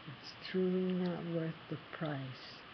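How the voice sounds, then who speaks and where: A woman with an American accent talks at a fairly slow pace. Her voice is somewhat breathy and fairly low. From US East Coast. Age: 60s. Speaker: person living with HIV. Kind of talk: personal testimony to camera.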